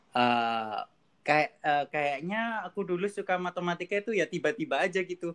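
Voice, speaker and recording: A man with an ordinary speaking voice and lively intonation is captured in a dry, close sound with no echo. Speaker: PhD student in mathematics. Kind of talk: casual interview. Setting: video call.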